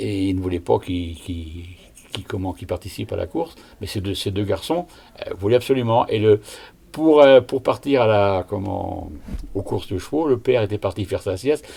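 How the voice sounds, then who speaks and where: A dark, mellow, somewhat breathy voice carries lively intonation. The pace is moderate. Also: man, fairly low pitch for a man. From Brittany, near Rennes. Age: 70s. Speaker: retiree recalling village history. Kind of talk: oral history interview.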